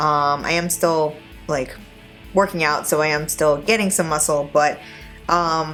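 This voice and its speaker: With music in the background, a woman speaks at a fairly slow pace. Her pitch is very deep and low, and her intonation stays fairly even. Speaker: nonbinary vlogger on low-dose testosterone. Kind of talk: casual talk to camera.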